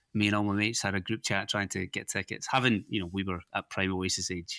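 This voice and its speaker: In a Scottish accent, a man with a fairly low pitch and a bright, sharp tone speaks very fast in a monotone, flat intonation, the sound dry and close with no echo against a quiet background. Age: 40s. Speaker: podcast host. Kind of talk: casual chat.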